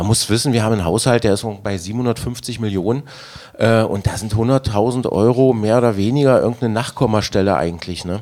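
A man speaks in a plain, everyday voice at medium pitch. His pace is fairly quick, with ordinary pitch variation. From Magdeburg, Germany. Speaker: city councillor and festival organiser. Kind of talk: casual chat.

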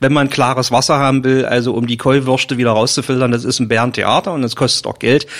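Noticeable background noise sits behind a man's voice. He speaks at a fairly quick pace and a medium pitch. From Magdeburg, eastern Germany. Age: 50s. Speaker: forester. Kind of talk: casual interview.

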